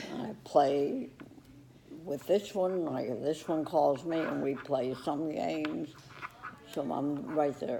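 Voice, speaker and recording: Speaking at a very slow pace with long, frequent pauses, a woman with a very deep, low pitch uses ordinary pitch variation over noticeable background noise. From Iraq. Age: 80s+. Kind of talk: interview answer.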